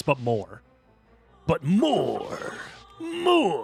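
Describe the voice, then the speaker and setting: A high-pitched put-on character voice speaks with faint music in the background. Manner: greedy, demanding.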